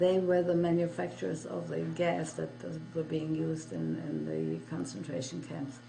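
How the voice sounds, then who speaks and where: Over background music and audible room echo, a woman with a very deep, low voice talks at a moderate pace with very wide pitch swings and hardly any pauses. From Germany and Poland. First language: German. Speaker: Holocaust survivor. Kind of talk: testimony. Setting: interview.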